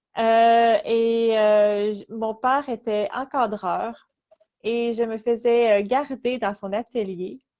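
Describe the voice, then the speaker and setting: A woman with a Quebec accent speaks at a very slow pace. Her pitch is fairly high and her intonation fairly even. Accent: Québécois. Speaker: artist. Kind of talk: interview. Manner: halting.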